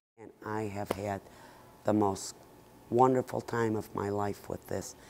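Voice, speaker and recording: A woman with an American accent speaks fairly slowly in a very deep, low pitch. Her intonation stays monotone and flat. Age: 70s. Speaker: hat maker. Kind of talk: interview.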